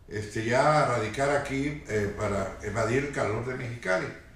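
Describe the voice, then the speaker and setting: A man's medium-pitched voice at a fairly slow pace, with audible room echo and noticeable background noise. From Tijuana, Mexico. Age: 60s. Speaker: longtime resident. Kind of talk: oral history interview. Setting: at his home. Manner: hesitant, many fillers.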